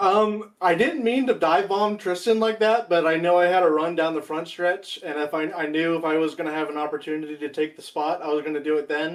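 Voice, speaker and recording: A man with a high voice speaks at a fairly quick pace, using ordinary pitch variation. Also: hardly any pauses. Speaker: sim racing driver. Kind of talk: post-race interview. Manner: halting, many ums.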